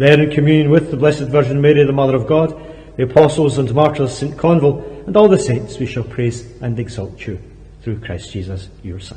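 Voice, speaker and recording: A man talks at a fairly quick pace with ordinary pitch variation. His loudness swings widely. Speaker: priest. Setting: church, live-streamed. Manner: formal, solemn, measured, reverent. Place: church.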